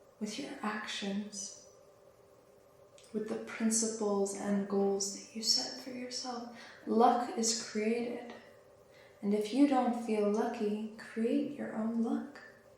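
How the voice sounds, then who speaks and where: Whispering and soft-spoken, a woman speaks at a very slow pace with long, frequent pauses, amid audible room echo and noticeable background noise. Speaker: spiritual teacher. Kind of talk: channelled spiritual message. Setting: at home.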